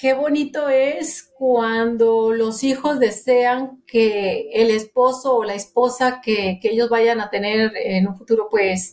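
Her pace is very slow, with hardly any pauses. The woman's pitch sits fairly high. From Monterrey, Nuevo León, Mexico. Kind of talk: testimony.

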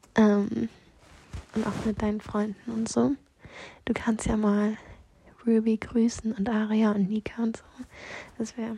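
Noticeable background noise runs behind a woman speaking fairly slowly in a fairly high pitch. Her intonation is monotone and flat, with long, frequent pauses. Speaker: personal voice message sender. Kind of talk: personal voice message. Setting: lying on bed in her room. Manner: halting.

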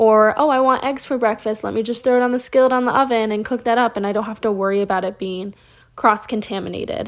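Very fast, animated speech from a woman with a fairly high pitch. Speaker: content creator. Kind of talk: casual solo podcast chat. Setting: home, recording at night in her room. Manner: fast talker; animated, chatty.

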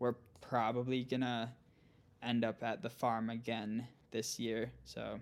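Speaking in an Upper Midwest accent, a man of medium pitch talks at a fairly slow pace with monotone, flat intonation. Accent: Upper Midwest American. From central Minnesota. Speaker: gravel cycling pro and coach. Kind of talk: casual interview.

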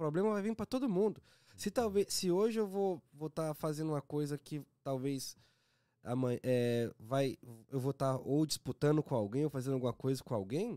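Speaking at a fairly quick pace, a man with a dark, mellow tone and a fairly high pitch makes very wide pitch swings, heard on a very clean, dry, close recording with a silent background and no echo. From Governador Valadares, Minas Gerais, Brazil. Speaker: pagode band musician. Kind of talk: casual chat.

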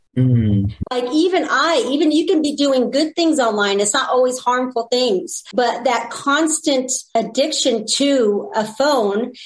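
An American-accented woman speaks at a fairly slow pace with a high pitch, hardly any pauses and very even loudness. Noticeable background noise is present. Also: ordinary pitch variation. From California. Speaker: blogger and ministry leader. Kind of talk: casual interview chat.

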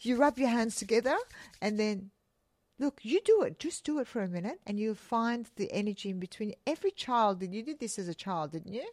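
The speaker has a plain, everyday voice with lively intonation and a fairly quick pace. The recording is very clean, with a silent background. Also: woman, fairly high pitch for a woman. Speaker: podcast co-host. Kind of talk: casual chat.

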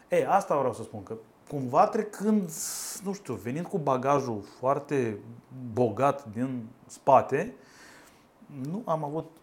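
His pace is very slow as the man talks. The pitch of his voice swings very widely. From Moldova. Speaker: lawyer, law firm co-founder. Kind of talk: casual chat.

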